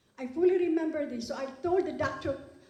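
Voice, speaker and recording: A woman with a non-native accent speaks at a very fast pace with ordinary pitch variation. Audible room echo surrounds her voice. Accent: foreign. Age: 70s. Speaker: award recipient, businesswoman. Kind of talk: award acceptance speech. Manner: animated.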